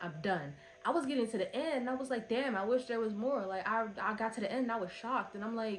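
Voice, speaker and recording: A woman talks at a very fast pace in a fairly high pitch with ordinary pitch variation. Music plays in the background. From Philadelphia, US. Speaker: book reviewer. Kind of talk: casual review monologue.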